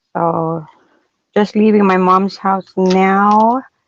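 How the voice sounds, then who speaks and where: The recording has a dry, close sound with no echo, carrying a woman's unremarkable speaking voice at medium pitch with ordinary pitch variation. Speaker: livestreamer. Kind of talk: casual chat.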